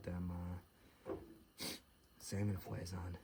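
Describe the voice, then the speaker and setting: Whispering with a somewhat breathy sound, a man speaks in an American accent. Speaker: outdoor vlogger. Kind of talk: casual vlog narration. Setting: outdoors. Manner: half-whispering.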